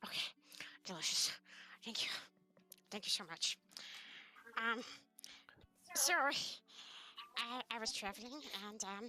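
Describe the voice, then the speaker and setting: A woman's put-on character voice, fairly high in pitch, at a moderate pace with long, frequent pauses. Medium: virtual streamer. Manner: stammering, hesitant.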